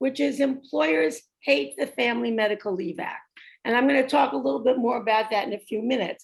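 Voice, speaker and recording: With a New York accent, a woman speaks at a moderate pace in a fairly high pitch, showing very wide pitch swings and vocal fry. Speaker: retired labor attorney. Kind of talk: workshop presentation.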